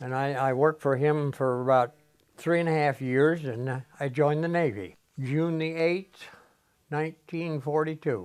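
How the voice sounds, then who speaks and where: A man's fairly high voice with an American accent, at a moderate pace and ordinary pitch variation, over music in the background. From US Great Plains (Colorado, Oklahoma). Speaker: war veteran. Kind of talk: oral history interview. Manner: halting.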